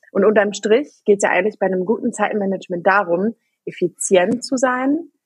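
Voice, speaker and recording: Lively intonation with a somewhat breathy quality. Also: woman. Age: 30s. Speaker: working mother, podcast guest. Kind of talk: casual chat.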